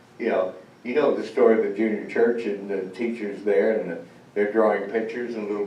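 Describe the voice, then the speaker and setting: Over noticeable background noise, a man speaks at a fairly low pitch and a fairly quick pace. His intonation is flat and monotone, and the room echo is audible. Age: 70s. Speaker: spiritual speaker and author. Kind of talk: sermon. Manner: halting.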